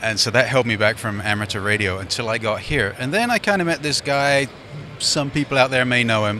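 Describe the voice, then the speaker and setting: Over noticeable background noise, a man with medium pitch talks at a fairly quick pace. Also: ordinary pitch variation. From London, England. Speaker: ham radio show sidekick. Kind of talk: casual interview. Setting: convention floor.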